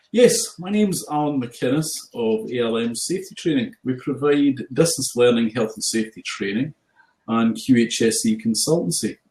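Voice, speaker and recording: Speaking in a strong Scottish accent, a man keeps a medium pitch. His pace is moderate and his intonation lively. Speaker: health and safety trainer. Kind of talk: casual chat.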